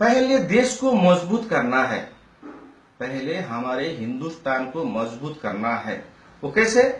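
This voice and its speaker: A man with a non-native accent speaks at a high pitch with very wide pitch swings, amid noticeable background noise and audible room echo. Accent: non-native Hindi speaker. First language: Nepali (speaking Hindi). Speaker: citizen commentator. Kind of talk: political opinion monologue. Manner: halting, many fillers.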